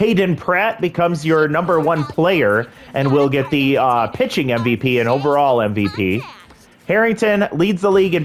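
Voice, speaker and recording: A man speaks at a fairly high pitch, his loudness very even throughout. Noticeable background noise sits behind him. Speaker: video game commentator. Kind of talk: gameplay commentary.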